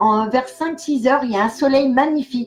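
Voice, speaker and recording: Here a woman talks at a moderate pace. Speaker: clairvoyant. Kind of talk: live stream chat. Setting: live video stream. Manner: animated.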